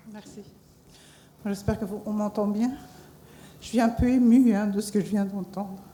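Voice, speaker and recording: Her intonation flat and monotone, a woman speaks with big swings in loudness and long, frequent pauses. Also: medium pitch for a woman, moderate pace. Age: 60s. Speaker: cancer survivor. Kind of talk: testimony.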